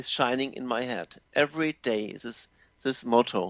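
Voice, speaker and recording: Speaking in a German accent, a man uses a medium pitch and ordinary pitch variation at a moderate pace, recorded dry and close with no echo against a quiet background. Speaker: language teacher. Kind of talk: radio interview. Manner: halting.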